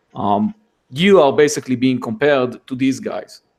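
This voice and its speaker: A man with a medium-pitched voice speaks with a non-native accent. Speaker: tech YouTuber. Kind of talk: casual chat.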